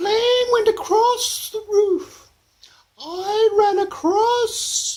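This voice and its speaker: A man's squeaky put-on character voice at an extremely high pitch and a very slow pace. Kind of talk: comic overacting. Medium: solo performance. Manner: gushing, rambling, hesitant.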